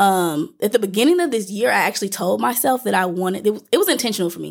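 Speaking at a very fast pace, a woman at medium pitch uses lively intonation and vocal fry on a very clean recording with a silent background. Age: 20s. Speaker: podcast host. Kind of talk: casual chat.

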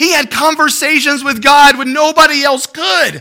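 A raised, projected voice with a bright, sharp tone comes through at a fairly slow pace. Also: man. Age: 40s. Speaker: pastor. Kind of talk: sermon. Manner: halting.

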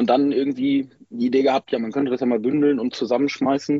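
A man's fairly high voice races along at a very fast pace while its pitch varies in an ordinary way. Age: 20s. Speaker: handball fan group member. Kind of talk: interview.

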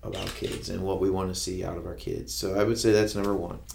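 With audible room echo, a man in a US Midwestern accent speaks at a fairly low pitch with fairly even intonation. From Ohio, Kenton. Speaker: school superintendent. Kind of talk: interview. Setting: studio. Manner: halting, with many fillers.

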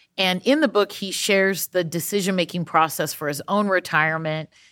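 In a very clean recording with a silent background, a woman speaks at a moderate pace. She has a normal speaking voice with fairly even intonation. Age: 40s. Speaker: podcast host. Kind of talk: casual interview.

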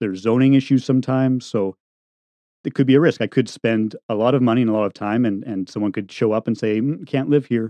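The speech comes at a very fast pace. Its intonation stays fairly even. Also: man, medium pitch for a man. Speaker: tiny house builder and podcaster. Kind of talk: casual interview chat. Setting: remote recording with studio mic.

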